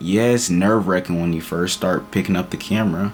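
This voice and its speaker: A man is speaking. Music plays in the background. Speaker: motivational vlogger. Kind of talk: motivational talk to camera. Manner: casual, repetitive fillers.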